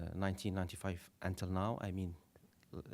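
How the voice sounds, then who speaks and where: In a French accent, a man talks at a fairly low pitch. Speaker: panelist on Qatar foreign policy. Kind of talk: panel presentation. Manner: halting, many fillers.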